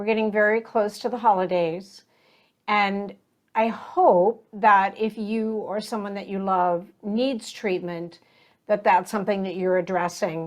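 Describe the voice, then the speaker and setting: A woman's unremarkable speaking voice, medium in pitch, fairly slow, with fairly even intonation. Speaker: podcast host. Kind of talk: podcast intro.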